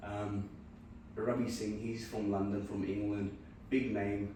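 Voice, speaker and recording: A man's speech carries audible room echo, with noticeable background noise around it. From Punjab, India. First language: Punjabi. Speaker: podcaster. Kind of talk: casual chat.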